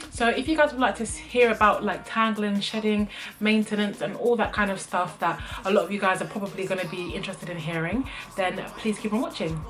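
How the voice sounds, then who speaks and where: A woman with a British accent talks at a fairly quick pace over music in the background. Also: medium pitch for a woman, ordinary pitch variation. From UK. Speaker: beauty vlogger. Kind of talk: product review vlog. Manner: casual, frequent filler ums.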